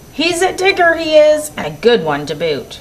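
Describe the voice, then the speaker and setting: A woman bellows loudly in a put-on character voice with a high pitch. Her pace is moderate. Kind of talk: children's picture book read-aloud. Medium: read story. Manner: loud, bellowing pirate talk.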